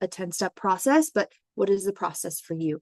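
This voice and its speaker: Against a quiet background, a woman speaks at medium pitch and a fairly quick pace. The sound is dry and close, with no echo. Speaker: human design mentor and educator. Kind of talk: webinar presentation. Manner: fast.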